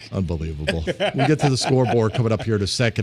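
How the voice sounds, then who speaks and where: Over music in the background, a man with a fairly low pitch talks at a fairly quick pace. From New York. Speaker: sports radio host. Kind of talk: casual sports talk radio banter. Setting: radio studio, streamed live. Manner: animated.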